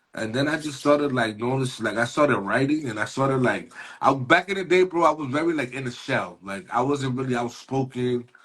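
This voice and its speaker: A man's medium-pitched voice with a New York accent, fairly quick pace, hardly any pauses and ordinary pitch variation. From New York City, Mexican-born. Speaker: rapper. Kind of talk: casual interview. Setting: livestream show. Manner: animated.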